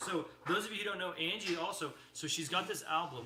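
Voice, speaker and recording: A man with an American accent talks at a fairly quick pace. Audible room echo and noticeable background noise surround him. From Texas. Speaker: livestream co-host, musician's husband. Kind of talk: casual chat. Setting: livestream video at dinner table.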